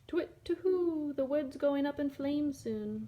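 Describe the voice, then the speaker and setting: A woman's put-on character voice, high in pitch. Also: moderate pace. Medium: read story. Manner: hooting "to-whit, to-hoo".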